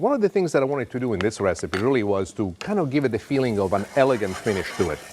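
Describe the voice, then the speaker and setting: Amid noticeable background noise, a man rattles off his words at a very fast pace. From Italy. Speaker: TV chef. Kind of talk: cooking demonstration.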